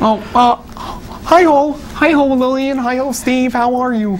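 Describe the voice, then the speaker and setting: Over clear background noise, a female-sounding put-on character voice speaks fairly slowly at a high pitch. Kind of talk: children's show. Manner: cheerful, friendly.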